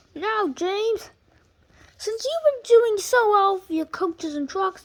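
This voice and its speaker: In a squeaky put-on character voice, the speaker projects loudly at a fairly slow pace. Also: woman, extremely high pitch for a woman. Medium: read story. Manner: throat-clearing, authoritative.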